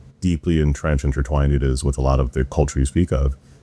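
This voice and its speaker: A man with an American accent talks with fairly even intonation over noticeable background noise. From US, Florida, Jamaican family. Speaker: podcast host. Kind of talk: interview conversation. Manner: casual.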